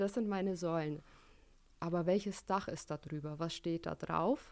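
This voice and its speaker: In a very clean recording with a silent background, a woman speaks at a fairly slow pace in a dark, mellow tone, her pitch fairly low and her intonation fairly even. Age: 20s. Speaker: events venue manager. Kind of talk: interview.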